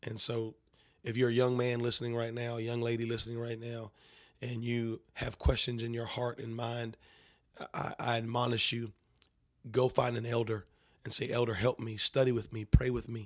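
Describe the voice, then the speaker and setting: On a very clean recording with a silent background, a man with an American accent speaks in a flat monotone, leaving long, frequent pauses. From North Carolina. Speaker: preacher. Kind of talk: interview.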